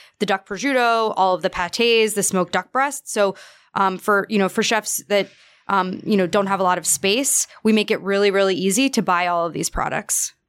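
An American accent and an ordinary speaking voice come from a woman at medium pitch with ordinary pitch variation and a moderate pace. The recording is very clean and dry, close with no echo and a silent background. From New York. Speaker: podcast co-host. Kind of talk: casual chat and interview.

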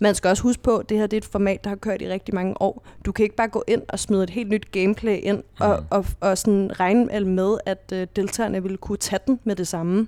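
A woman speaks at a fairly quick pace in a dark, mellow tone. Her intonation stays monotone and flat. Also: medium pitch for a woman. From Denmark, Næstved (Zealand). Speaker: reality TV expert guest. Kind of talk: interview. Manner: halting.

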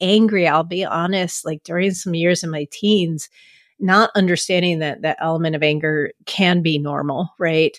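This woman has an ordinary speaking voice, fairly low in pitch. The recording is very clean with a silent background and a dry, close sound with no echo. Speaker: podcast host and coach. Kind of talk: interview conversation.

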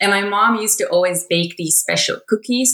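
In a Dutch accent, a woman speaks at a moderate pace with a bright, sharp tone and ordinary pitch variation. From Netherlands. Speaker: chief editor. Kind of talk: personal testimony.

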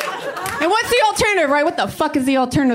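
A woman is speaking. Background noise is noticeable behind her. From Salvadoran family, US. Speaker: stand-up comedian. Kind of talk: stand-up.

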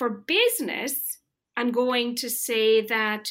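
This woman has an Irish accent and a fairly high pitch. She talks at a fairly slow pace. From rural Ireland. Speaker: marketing executive. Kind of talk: interview. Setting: remote call.

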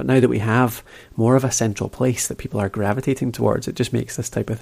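A man with a Scottish accent, very fast, with vocal fry and fairly even intonation. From Scotland. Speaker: podcast host. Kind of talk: interview, casual chat. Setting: remote call.

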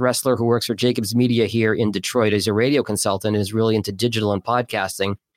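Talking at a very fast pace with an American accent, a man is heard on a very clean recording with a silent background. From Boston. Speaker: podcast producer and former radio host. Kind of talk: casual interview.

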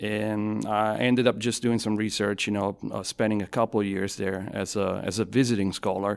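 A man's fairly low voice moves at a fairly quick pace with fairly even intonation. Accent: Italian. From southern Italy (Avellino). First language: Italian. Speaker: university professor and design school director. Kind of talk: casual interview. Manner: conversational, hesitant with fillers.

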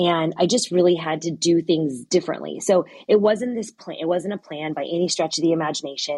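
In a normal speaking voice, the talk moves at a fairly quick pace with hardly any pauses and ordinary pitch variation. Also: woman, fairly low pitch for a woman. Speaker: abuse survivor sharing her story. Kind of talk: interview testimony. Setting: online audio room.

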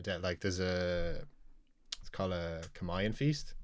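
On a very clean recording with a silent background, a man with a Dublin accent speaks in a very deep, low pitch with ordinary pitch variation. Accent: Dublin Irish. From Dublin, Ireland (Knocklyon). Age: 20s. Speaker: chef. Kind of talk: casual interview chat. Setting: studio.

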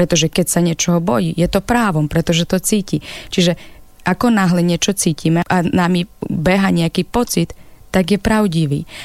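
A plain, everyday voice: a woman with fairly low pitch, ordinary pitch variation and very even loudness, speaking at a moderate pace. The sound is dry and close with no echo. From Ukraine. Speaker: psychologist and author. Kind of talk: radio interview. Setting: radio studio.

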